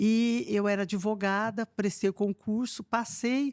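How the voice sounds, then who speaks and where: A woman speaks at a fairly slow pace with a fairly high pitch. The sound is dry and close with no echo, on a very clean recording with a silent background. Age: 60s. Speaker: retired police chief. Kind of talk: podcast interview. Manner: hesitant, many fillers.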